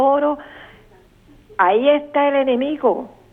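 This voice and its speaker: Noticeable background noise fills the recording. Through it, a woman talks at a fairly slow pace. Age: 70s. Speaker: caller. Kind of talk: testimony.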